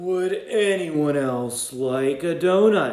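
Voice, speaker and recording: Putting on a character voice, a man speaks at a very slow pace and high pitch with ordinary pitch variation, and an audible echo surrounds him. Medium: read story.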